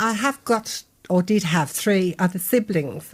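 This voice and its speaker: A woman with a Birmingham accent and lively intonation. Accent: Birmingham (Brummie). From Birmingham, England (Spring Hill). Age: 70s. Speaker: author and local memoir writer. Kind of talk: radio interview.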